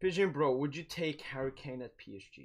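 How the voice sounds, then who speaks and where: Speaking with a non-native accent, a man shows ordinary pitch variation. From Sweden. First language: not English. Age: 20s. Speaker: football streamer. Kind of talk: live watch-along commentary and chat. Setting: live stream. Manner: casual, hesitant with repetitions.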